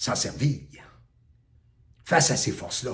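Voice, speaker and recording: A man speaks in a Quebec accent. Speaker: spiritual teacher. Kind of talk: spiritual talk. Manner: loud; forceful.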